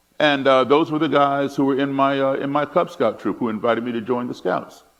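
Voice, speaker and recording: Here a man speaks with an American accent. His pitch is fairly high, with ordinary pitch variation. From United States, partly raised abroad. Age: 60s. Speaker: musician and speaker on racism. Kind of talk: talk with audience. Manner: hesitant, with repetitions.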